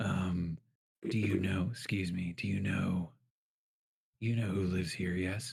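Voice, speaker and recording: Putting on a character voice, a man speaks at a very deep, low pitch and a fairly slow pace, with fairly even intonation and long, frequent pauses. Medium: actual play. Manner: polite but persistent.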